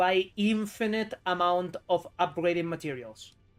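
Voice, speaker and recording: A man with a high pitch and a strong Spanish accent, on a very clean recording with a silent background. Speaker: gaming streamer. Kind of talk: live gameplay stream commentary. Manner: casual, animated.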